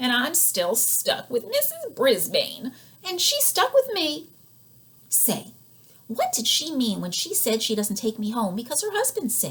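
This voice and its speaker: A woman puts on a squeaky, high-pitched character voice and speaks at a fairly slow pace. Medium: read story.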